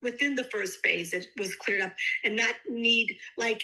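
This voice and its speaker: Bright, sharp tone at a fairly slow pace with ordinary pitch variation. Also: woman. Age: 60s. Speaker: customer giving a product testimonial. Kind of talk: testimony. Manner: animated.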